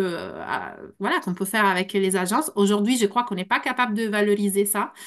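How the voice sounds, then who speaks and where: A woman's fairly high-pitched voice with a non-native accent, ordinary pitch variation and a fairly quick pace. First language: not French (speaking French). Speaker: translator and consultant. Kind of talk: panel discussion. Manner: halting.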